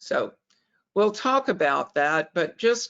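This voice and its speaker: A woman speaks with a Southern US accent at a medium pitch. Her pace is very slow. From US South, Alabama. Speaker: fundraising consultant. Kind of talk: webinar presentation. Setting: webinar.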